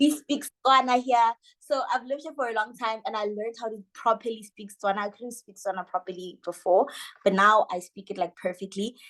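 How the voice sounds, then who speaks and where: A woman's fairly high voice at a fairly quick pace, with ordinary pitch variation and big swings in loudness. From South Africa. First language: Sesotho. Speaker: social media manager. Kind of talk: interview.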